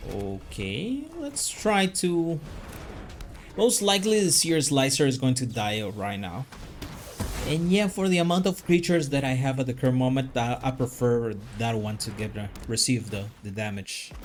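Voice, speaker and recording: A man's medium-pitched voice at a moderate pace, with very wide pitch swings and music in the background. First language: not English. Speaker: gaming YouTuber. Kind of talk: live gameplay commentary. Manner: halting.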